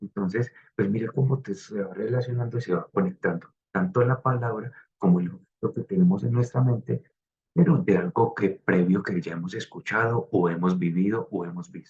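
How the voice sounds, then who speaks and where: Here a man talks at a moderate pace with lively intonation and a fairly low pitch. His voice is somewhat breathy. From Colombia, coffee region. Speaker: design student. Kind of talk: class presentation. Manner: hesitant, many fillers.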